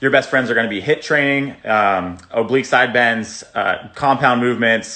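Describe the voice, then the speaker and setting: At a fairly quick pace, a man talks in an unremarkable speaking voice with a medium pitch. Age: 20s. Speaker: fitness influencer. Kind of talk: casual Q&A. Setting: outdoors.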